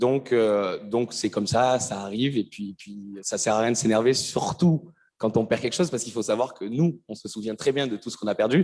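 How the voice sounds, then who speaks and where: Speaking at a moderate pace, a man has a medium pitch and a dark, mellow tone. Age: 20s. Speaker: speaker with ADHD giving testimony. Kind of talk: testimony. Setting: stage with audience. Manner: halting, many repetitions and fillers.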